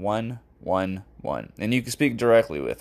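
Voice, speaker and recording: A plain, everyday voice at a moderate pace on a very clean recording with a silent background. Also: man. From Florida, Fort Lauderdale. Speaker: podcast host. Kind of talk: casual monologue.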